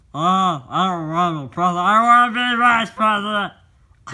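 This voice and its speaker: Here a man puts on a cartoonish character voice with a high pitch. He keeps a moderate pace. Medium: puppet show. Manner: goofy, dopey.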